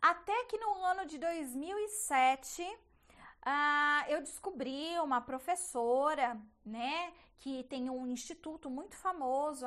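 A woman speaks with lively intonation. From interior of São Paulo state, Brazil (Bauru). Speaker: perinatal psychologist and online educator. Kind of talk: casual educational monologue.

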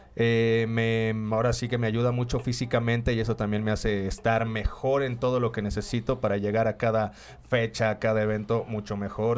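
The recording is very clean, with a silent background. A man of medium pitch talks at a moderate pace in a plain, everyday voice. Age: 30s. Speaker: freestyle rapper. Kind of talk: casual chat.

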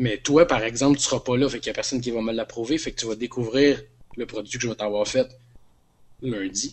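Speaking at a fairly quick pace with fairly even intonation, a man with a medium pitch leaves long, frequent pauses. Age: 30s. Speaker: podcast guest. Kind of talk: casual chat.

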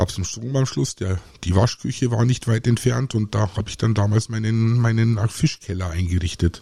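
Moderate-paced male speech at a medium pitch, hardly any pauses, its pitch varying in an ordinary way. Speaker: podcast host, aquarist. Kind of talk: solo podcast monologue. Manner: hesitant, many filler sounds.

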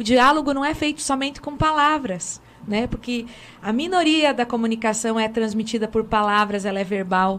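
Using a normal speaking voice, a woman speaks at a moderate pace with a fairly high pitch and ordinary pitch variation. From Brazil, Francisco Beltrão, Paraná. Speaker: pastor. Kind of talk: panel discussion. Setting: studio.

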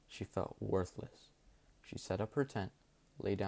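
Unforced reading voice throughout

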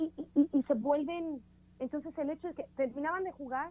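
High female voice, moderate in pace, pitch varying an ordinary amount. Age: 30s. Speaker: communications professional, mother. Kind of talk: casual chat. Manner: animated.

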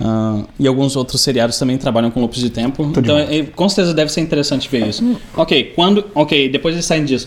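A man speaks with hardly any pauses in an ordinary speaking voice. His pitch is fairly high, with ordinary pitch variation. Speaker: podcast host. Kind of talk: casual chat.

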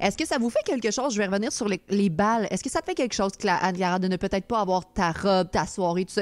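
Speaking very fast at a medium pitch with ordinary pitch variation, a woman is captured in a very clean recording with a silent background and a dry, close sound with no echo. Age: 30s. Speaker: streamer and podcast host. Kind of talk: casual chat. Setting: live stream with chat.

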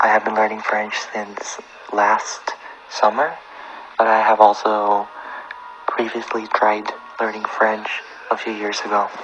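Long pauses come often in this fairly slow speech. Background noise is noticeable throughout. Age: 20s. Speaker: language learner, student. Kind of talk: interview.

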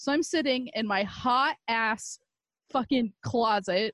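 A woman uses a normal speaking voice with ordinary pitch variation, recorded dry and close with no echo against a quiet background. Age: 20s. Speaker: podcast co-host. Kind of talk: casual chat.

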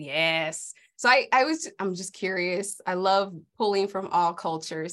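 In a very clean recording with a silent background, a woman with a normal speaking voice and an American accent talks at a fairly slow pace, her medium pitch carried by lively intonation. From South Central Los Angeles. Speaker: author and coach. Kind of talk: casual interview.

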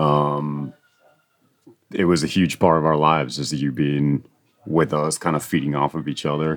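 With long, frequent pauses, a man speaks at a moderate pace in a very deep, low, flat monotone. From Hawaii (Oahu). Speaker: podcast host and musician. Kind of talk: casual chat. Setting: mobile microphone recording at home.

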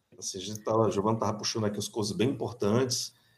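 Talking at a very fast pace, a man keeps his intonation fairly even. His voice is fairly low. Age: 40s. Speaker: electrical engineering professor. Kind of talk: interview.

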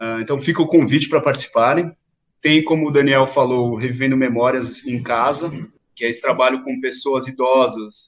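This man has a plain, everyday voice pitched fairly high. He keeps fairly even intonation at a moderate pace. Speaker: museum educator. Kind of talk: interview.

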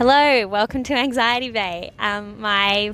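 Noticeable background noise runs under this recording. A woman with a fairly high voice speaks at a very slow pace. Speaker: podcast host. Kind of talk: casual chat; scripted narration. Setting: public park.

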